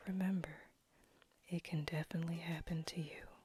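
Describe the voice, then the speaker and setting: Music plays in the background. A woman of fairly low pitch talks at a fairly slow pace with monotone, flat intonation. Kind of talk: inspirational spoken-word voiceover. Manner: slow, measured, rhythmic.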